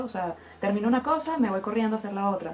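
Noticeable background noise sits behind this recording. The speaker is a woman whose pitch is fairly high. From Venezuela. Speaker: podcast co-host. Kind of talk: casual chat.

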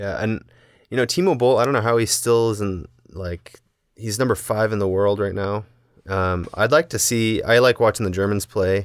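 A man with an American accent and a normal speaking voice talks at a moderate pace in a fairly low pitch with ordinary pitch variation, on a very clean recording with a silent background. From US Midwest, Indiana. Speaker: table tennis coach. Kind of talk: casual chat.

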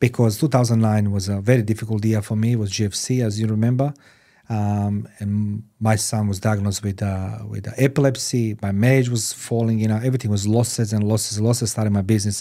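Speaking at a fairly low pitch, a man talks at a fairly quick pace with monotone, flat intonation. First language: not English. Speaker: podcast host. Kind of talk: interview. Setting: studio.

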